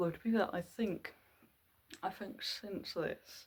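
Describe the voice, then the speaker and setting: A woman speaks at a moderate pace. Her voice is somewhat breathy, with a dark, mellow tone. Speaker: vlogger. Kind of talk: casual haul vlog. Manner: stammering repetitions.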